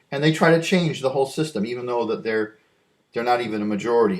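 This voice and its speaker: A man with an American accent speaks with very wide swings in pitch. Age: 60s. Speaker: vlogger. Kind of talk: casual monologue. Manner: halting, with many repeats.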